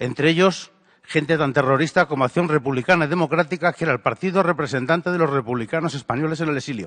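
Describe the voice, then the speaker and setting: Very fast delivery with ordinary pitch variation and a dry, close sound with no echo. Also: man, fairly high pitch for a man. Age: 60s. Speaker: audience member. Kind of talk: audience question at a lecture.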